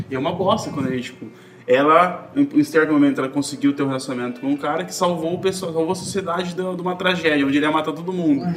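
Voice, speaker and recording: A man talks very fast with a fairly high pitch while noticeable background noise continues. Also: ordinary pitch variation. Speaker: podcast host. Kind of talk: casual chat.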